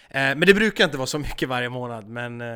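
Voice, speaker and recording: A man's very fast speech at a medium pitch, with noticeable background noise. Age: 20s. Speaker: YouTuber and gaming streamer. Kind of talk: casual chat.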